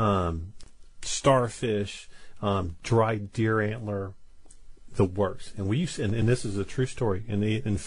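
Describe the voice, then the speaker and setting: The voice moves at a fairly slow pace. It sounds somewhat breathy. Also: man. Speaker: Chinese medicine practitioner. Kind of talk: radio call-in chat. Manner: halting, repeats words.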